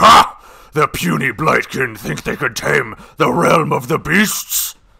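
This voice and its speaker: Using a raspy, put-on character voice, a man speaks at a fairly slow pace. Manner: boastful, mocking.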